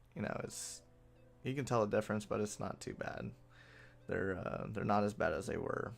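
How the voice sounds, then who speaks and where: Over music in the background, a man with a fairly low pitch talks at a moderate pace with fairly even intonation and long, frequent pauses. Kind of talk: casual talk to camera, video game patch overview. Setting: home, recorded late at night.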